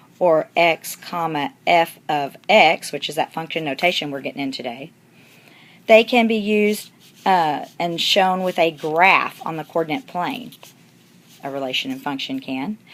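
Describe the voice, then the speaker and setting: With an ordinary speaking voice, a woman talks at a fairly slow pace and a fairly low pitch, using lively intonation and big swings in loudness on a very clean recording with a silent background. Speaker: math teacher. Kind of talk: recorded lesson for students.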